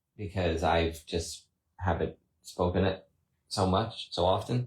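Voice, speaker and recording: On a very clean recording with a silent background, a man with an American accent talks very slowly in a very deep, low, somewhat breathy voice with fairly even intonation. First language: Spanish. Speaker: husband co-host of family chat stream. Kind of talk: casual chat.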